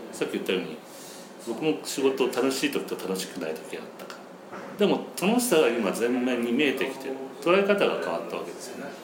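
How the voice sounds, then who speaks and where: Noticeable background noise and audible room echo accompany a man who talks at a fairly quick pace, with very wide pitch swings and big swings in loudness. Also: medium pitch for a man. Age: 50s. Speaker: company owner. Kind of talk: casual chat. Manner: halting.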